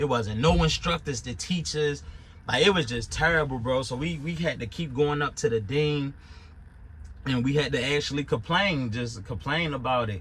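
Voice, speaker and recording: A man with a Baltimore accent talks at a moderate pace in a fairly high pitch. His tone is animated, with ordinary pitch variation. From Baltimore, Maryland. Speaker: YouTuber reviewing his truck driving school. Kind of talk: casual monologue review.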